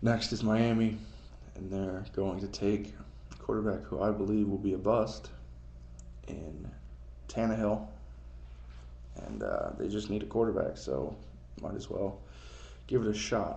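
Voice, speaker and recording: A man talks at a fairly slow pace with long, frequent pauses, and audible room echo surrounds his voice. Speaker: amateur sports vlogger. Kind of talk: casual solo commentary, NFL mock draft. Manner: casual, hesitant with fillers.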